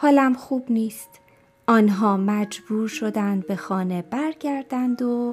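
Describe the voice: Someone reads aloud plainly, the pitch varying in an ordinary way.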